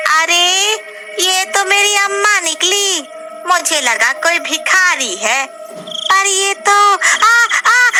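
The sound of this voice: A woman puts on a cartoonish character voice, pitched extremely high and delivered very slowly. Background noise is clearly audible.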